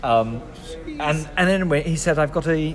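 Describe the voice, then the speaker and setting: A man's fairly slow speech with very wide pitch swings, audible room echo and noticeable background noise. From southern England, Devon. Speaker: actor. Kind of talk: casual chat. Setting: public venue.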